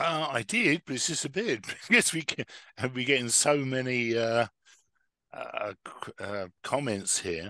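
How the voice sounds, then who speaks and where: A man with an English accent, medium-pitched, bright and sharp in tone, lively in intonation, at a moderate pace, in a dry, close sound with no echo. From England. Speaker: webinar host. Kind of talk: webinar moderation.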